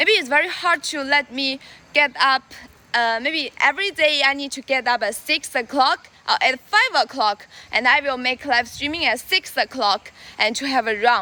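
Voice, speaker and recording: At a moderate pace, the speaker uses a raised, projected voice with lively intonation. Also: woman, high pitch for a woman. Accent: Chinese. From China. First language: Chinese. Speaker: livestreamer. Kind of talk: live stream chat while jogging. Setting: outdoors. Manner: halting.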